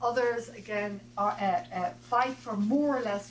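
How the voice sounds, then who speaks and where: A woman's medium-pitched voice comes through with noticeable background noise behind it. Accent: Irish. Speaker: professor. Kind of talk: reading aloud. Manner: fast.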